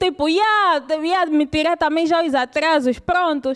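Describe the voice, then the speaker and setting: With an Angolan accent, a woman speaks at a high pitch with ordinary pitch variation against a quiet background. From Luanda, Angola (Cazenga). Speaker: stand-up comedian. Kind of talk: stand-up comedy. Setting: stage with live audience. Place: stage. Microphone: handheld.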